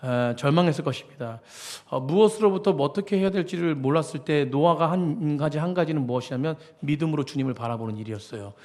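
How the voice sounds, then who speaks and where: This man talks at a very fast pace, his fairly high voice carrying lively intonation. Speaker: senior pastor. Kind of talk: sermon.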